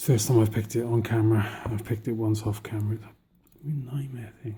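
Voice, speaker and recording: A quiet, very fast male voice with a British accent, medium pitch, monotone, flat intonation and big swings in loudness. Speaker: lock picking hobbyist. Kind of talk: tutorial.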